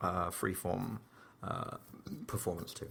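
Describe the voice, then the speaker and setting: With an English accent and a bright, sharp tone, a man speaks at a moderate pace. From England (Slough). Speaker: comedian and theatre performer. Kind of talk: casual interview chat. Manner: hesitant, many fillers and restarts.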